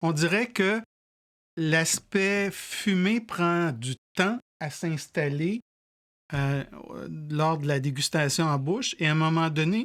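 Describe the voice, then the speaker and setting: The speech moves at a very slow pace with long, frequent pauses. The recording is very clean, with a silent background. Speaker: whisky tasting show host. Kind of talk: casual tasting chat. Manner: halting, many repetitions.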